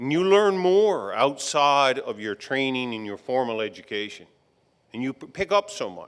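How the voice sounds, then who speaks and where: In a Newfoundland accent, a man talks at a medium pitch. His pace is moderate, and his pitch swings very widely. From Newfoundland, Fogo Island. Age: 60s. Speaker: retired electrical engineer, commencement speaker. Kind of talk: graduation address.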